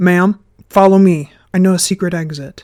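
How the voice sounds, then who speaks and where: This female-sounding voice is a put-on character voice. It sits at a medium pitch. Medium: read story. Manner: urgent, hurried.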